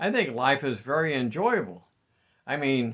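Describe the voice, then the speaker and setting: A man of medium pitch speaks with an American accent at a fairly slow pace. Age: 70s. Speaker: retiree vlogger. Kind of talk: casual monologue.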